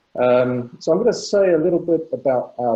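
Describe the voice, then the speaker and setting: Dark and mellow in tone, a man speaks with an English accent. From England. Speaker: patent attorney. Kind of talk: webinar presentation.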